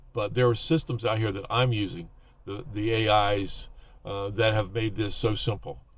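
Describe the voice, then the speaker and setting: The man's voice comes across somewhat breathy. He speaks at a fairly slow pace. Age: 70s. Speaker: YouTuber giving advice to older creators. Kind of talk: casual talk-to-camera advice. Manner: hesitant, many fillers.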